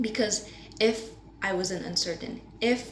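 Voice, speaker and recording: Noticeable background noise and audible room echo accompany speech at a moderate pace with ordinary pitch variation. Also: woman. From Indonesia. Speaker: university student. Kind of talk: class presentation.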